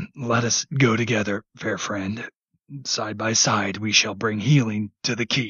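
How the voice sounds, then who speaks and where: A man puts on a raspy character voice at medium pitch, talking at a fairly slow pace with fairly even intonation. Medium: read story.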